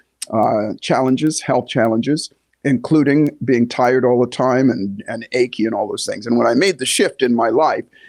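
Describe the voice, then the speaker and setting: He speaks at medium pitch with ordinary pitch variation. The man has a plain, everyday voice and a moderate pace. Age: 60s. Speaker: podcast host and health coach. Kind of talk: podcast monologue. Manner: conversational, with frequent fillers.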